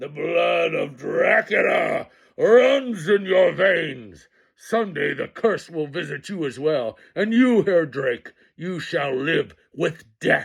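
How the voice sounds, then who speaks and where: A man puts on a growling character voice. He speaks at a very slow pace. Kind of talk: menacing, old-world. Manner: snarling.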